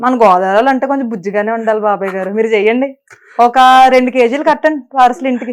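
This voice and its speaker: This woman's voice sits fairly high in pitch. Its pitch variation is ordinary. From Godavari region, Andhra Pradesh. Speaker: actress. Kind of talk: casual interview chat. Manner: animated, playful.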